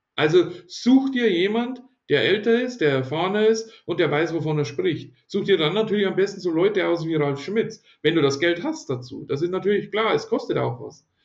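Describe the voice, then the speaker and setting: With lively intonation and a high voice, a man keeps to a moderate pace. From Bavaria, near Ingolstadt. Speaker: online marketing entrepreneur and event organizer. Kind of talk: interview.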